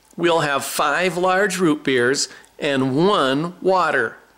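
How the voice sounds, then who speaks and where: A man's put-on character voice, high-pitched, at a very slow pace. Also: ordinary pitch variation. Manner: through gritted teeth, irritated.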